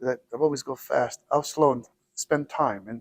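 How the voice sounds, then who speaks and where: The man's voice sits fairly high, with fairly even intonation. He keeps a moderate pace, and the sound is dry and close with no echo. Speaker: cardiologist. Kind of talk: interview. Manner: loud; halting, many repetitions.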